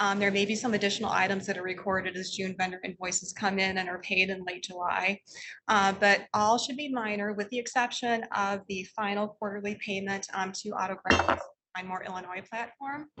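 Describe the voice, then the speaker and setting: At a fairly quick pace, a woman speaks in a medium pitch with fairly even intonation. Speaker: library system finance officer. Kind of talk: financial report at board meeting. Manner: soft-spoken; hesitant with frequent um fillers.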